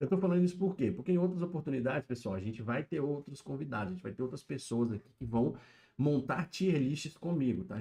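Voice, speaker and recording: A man's dark, mellow, somewhat breathy voice, fairly quick, with lively intonation. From Brazil, interior of Minas Gerais. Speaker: YouTube livestreamer, pop-culture commentator. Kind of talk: casual livestream chat. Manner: casual, filler-heavy.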